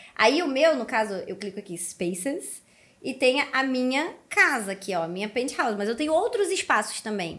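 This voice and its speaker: Over noticeable background noise, a woman with a slight Carioca accent speaks at a high pitch with very wide pitch swings. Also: moderate pace. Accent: carioca accent barely noticeable. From Rio de Janeiro, Brazil. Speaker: Web3 content creator. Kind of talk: casual chat.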